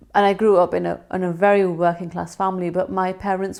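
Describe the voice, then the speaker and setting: A woman with a West Yorkshire accent talks fairly quickly in a monotone, flat intonation. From northern England, Bradford. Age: 30s. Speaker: TV news reporter. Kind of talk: award nominee video testimony.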